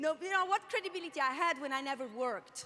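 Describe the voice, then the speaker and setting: A woman speaks in a raised, projected voice at a moderate pace. Her intonation is lively. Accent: Italian. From Italy. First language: Italian. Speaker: network marketing leader, panelist. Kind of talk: panel discussion testimony.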